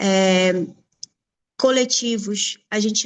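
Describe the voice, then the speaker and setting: Against a quiet background, a woman with a Brazilian accent speaks at a medium pitch. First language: Portuguese. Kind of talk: panel presentation. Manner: hesitant.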